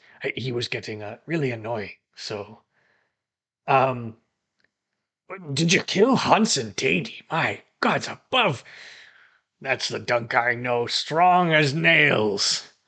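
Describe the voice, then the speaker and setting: A man does a put-on character voice, raspy and at medium pitch. He speaks at a fairly slow pace with long, frequent pauses. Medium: actual play. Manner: blustering, fatherly.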